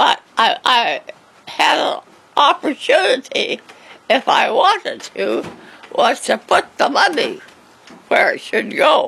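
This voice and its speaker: A woman's extremely high pitch with very wide pitch swings, at a very slow pace with long, frequent pauses, over noticeable background noise. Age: 80s+. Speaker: elderly woman telling life story. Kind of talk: interview. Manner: halting.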